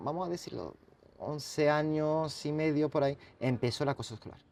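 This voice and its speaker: A French accent comes through in a dark, mellow tone. The pace is fairly slow. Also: man. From France, then Catalonia. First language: French (speaking Spanish). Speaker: writer and bullying survivor. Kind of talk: interview testimony. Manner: halting.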